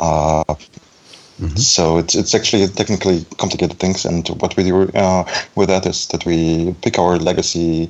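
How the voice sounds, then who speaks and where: A man's very deep, low voice in a flat monotone at a moderate pace, with noticeable background noise. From Belarus, raised in Germany. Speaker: front-end developer. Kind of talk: casual chat. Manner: halting.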